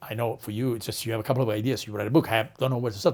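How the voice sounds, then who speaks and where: A man speaks with an Italian accent. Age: 40s. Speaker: marketing strategist and author. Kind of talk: interview storytelling. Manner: animated.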